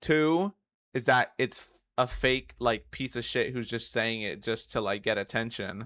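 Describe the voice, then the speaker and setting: At a fairly slow pace, a man with a medium-pitched, bright, sharp tone speaks with ordinary pitch variation and big swings in loudness, on a very clean recording with a silent background. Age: 20s. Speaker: streamer reacting to a video. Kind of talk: casual reaction commentary.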